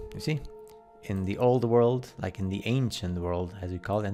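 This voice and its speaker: A man speaks at a fairly quick pace with a fairly low pitch and ordinary pitch variation, music playing in the background. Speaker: conspiracy video commentator. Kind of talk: casual commentary over photos. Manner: fast; animated.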